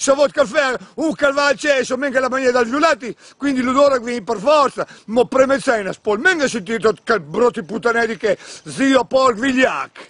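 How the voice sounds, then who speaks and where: A man talks in an extremely high pitch with ordinary pitch variation, the sound dry and close with no echo. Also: moderate pace. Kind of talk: casual rant to camera. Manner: exasperated, ranting.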